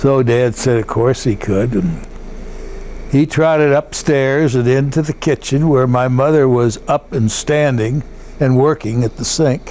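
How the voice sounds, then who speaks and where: Someone speaks with an American accent at a fairly slow pace. Background noise is noticeable. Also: man, medium pitch for a man, fairly even intonation. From US Midwest, St. Louis area, Missouri. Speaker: war veteran. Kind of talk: oral history interview. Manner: halting, with fillers.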